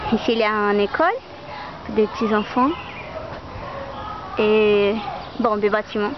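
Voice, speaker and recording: A woman with a Brazilian accent, fairly high-pitched with ordinary pitch variation, speaking at a very slow pace amid noticeable background noise. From Brazil, Fortaleza. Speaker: university student. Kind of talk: video letter to a friend. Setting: walking around home and outdoors. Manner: halting.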